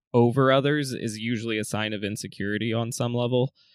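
An ordinary speaking voice from a man with an American accent, medium in pitch, at a fairly quick pace with ordinary pitch variation, in a dry, close sound with no echo. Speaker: podcast host. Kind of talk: scripted intro then interview chat.

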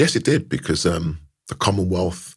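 A man speaks in a London accent with a very deep, low pitch. His voice is somewhat breathy and his pace fairly slow. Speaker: karate champion and sports official. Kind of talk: interview answers.

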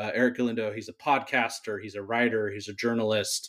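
A man at a medium pitch, very fast in pace, with fairly even intonation. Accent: American. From Southern California, Whittier. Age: 40s. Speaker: food editor and journalist. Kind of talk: casual interview chat. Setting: podcast recording. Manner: hesitant, many fillers.

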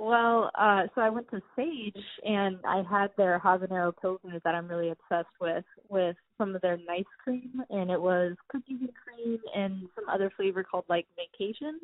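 A woman with an American accent speaks in an ordinary speaking voice, at a moderate pace with hardly any pauses. Her medium pitch shows ordinary pitch variation. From California, Sierra foothills. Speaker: wine enthusiast guest. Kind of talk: casual chat. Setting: phone call.

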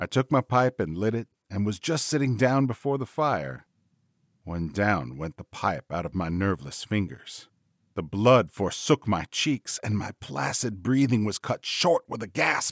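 In a very clean recording with a silent background and a dry, close sound with no echo, a man speaks at a fairly slow pace, his fairly low pitch making very wide swings. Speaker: podcast host and audiobook-style narrator. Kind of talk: first-person ghost story read aloud as dramatic narration. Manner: slow, suspenseful storytelling building dread; soothing, relaxing bedtime-story delivery.

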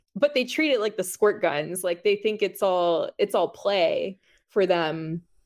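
A woman with a plain, everyday voice speaks at a fairly slow pace and a medium pitch, with ordinary pitch variation. Her loudness is very even, and the recording is very clean with a silent background. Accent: American. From Florida, Miami (Cuban American family). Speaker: music journalist. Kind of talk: casual chat. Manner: frequent laughter and filler words.

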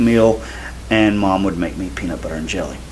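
A man with a Southern US accent, noticeable background noise behind him. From US South. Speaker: podcast co-host, gospel singer. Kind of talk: casual chat.

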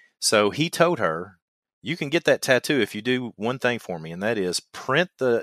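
In a Kentucky accent, a man talks at a moderate pace, the sound dry and close with no echo. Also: very clean recording, silent background. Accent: Kentucky twang. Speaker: survival instructor and podcast host. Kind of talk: casual podcast conversation.

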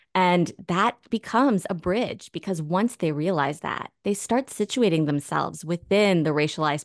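A woman with an unremarkable speaking voice talks at medium pitch with lively intonation. The background is quiet. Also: dry, close sound with no echo. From US, Northern Virginia. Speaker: sociology professor and author. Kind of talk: interview.

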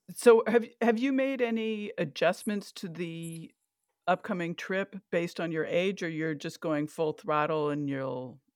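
A plain, everyday voice from a woman, fairly low in pitch, with lively intonation and a fairly slow pace. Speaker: podcast host. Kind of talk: interview intro and conversation.

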